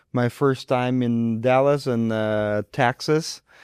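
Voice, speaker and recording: Recorded very cleanly against a silent background, with a dry, close sound and no echo, a man with a Ukrainian accent speaks at medium pitch with fairly even intonation. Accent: foreign, Ukrainian. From Ukraine. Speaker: surgeon. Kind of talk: interview. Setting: studio.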